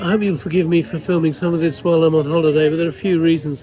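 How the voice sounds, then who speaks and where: Words rush out very fast. Background noise is noticeable throughout. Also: man. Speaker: former journalist.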